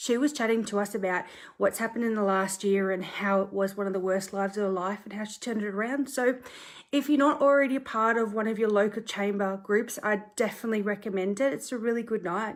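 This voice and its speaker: A woman with an Australian accent, fairly high in pitch, ordinary pitch variation, very fast pace. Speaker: property conveyancer. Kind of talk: social media live talk. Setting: bedroom at home, filmed on tripod. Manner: casual, chatty.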